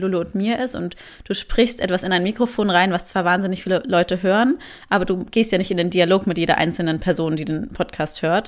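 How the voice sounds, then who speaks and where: A woman of medium pitch talks at a fairly quick pace in a normal speaking voice with ordinary pitch variation. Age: 20s. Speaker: café owner and podcaster. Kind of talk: casual interview chat. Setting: video call.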